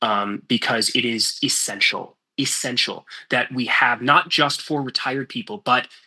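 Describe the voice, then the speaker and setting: An ordinary speaking voice, its pitch varying in an ordinary way. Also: man. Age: 30s. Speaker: congressional candidate. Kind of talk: candidate forum Q&A. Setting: video call.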